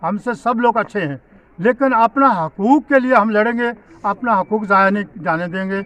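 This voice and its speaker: This man's pitch rises and falls in an ordinary way as he talks. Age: 70s. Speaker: local politician. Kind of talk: press statement.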